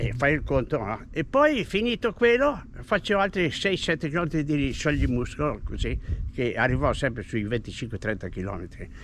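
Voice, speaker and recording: Vocal fry marks a man's fairly high voice at a moderate pace. His pitch swings very widely. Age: 80s+. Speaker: retired cyclist and runner. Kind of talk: casual chat.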